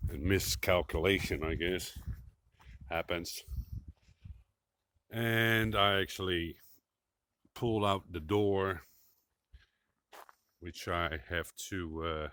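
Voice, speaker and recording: In a very clean recording with a silent background, a man with a very deep, low pitch and a bright, sharp tone speaks at a very slow pace with ordinary pitch variation and long, frequent pauses. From Netherlands. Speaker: woodworker. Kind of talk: tutorial.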